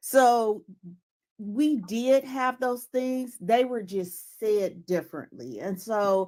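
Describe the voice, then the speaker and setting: The recording is very clean, its background silent. A woman talks with ordinary pitch variation. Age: 60s. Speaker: caller. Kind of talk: casual chat.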